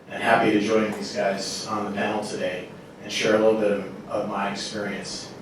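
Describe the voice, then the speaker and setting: A man with an American accent speaks at a fairly low pitch and a moderate pace. Noticeable background noise and audible room echo fill the recording. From United States. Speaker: industry executive. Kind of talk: panel discussion.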